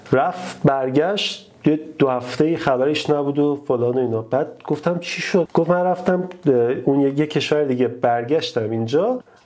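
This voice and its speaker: With noticeable background noise around him, a man at a fairly high pitch talks at a moderate pace, his pitch varying in an ordinary way. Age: 30s. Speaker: YouTuber and software engineer. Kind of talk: casual chat. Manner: simple, plain speaking.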